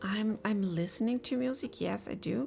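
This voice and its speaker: A woman speaks at a fairly slow pace with a non-native accent. Music plays in the background. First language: not English. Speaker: game developer streamer. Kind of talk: live dev stream chat. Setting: live stream. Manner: halting, many fillers.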